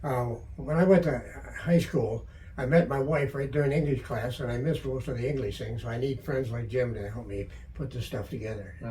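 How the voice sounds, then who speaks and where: A man at medium pitch speaks at a fairly quick pace with ordinary pitch variation. Audible room echo surrounds his voice. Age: 80s+. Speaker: metal detectorist and author. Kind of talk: interview.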